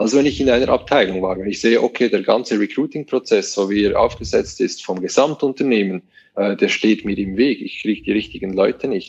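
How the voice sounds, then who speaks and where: This is a man speaking. He has a Swiss accent. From Switzerland. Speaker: web company manager. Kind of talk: interview.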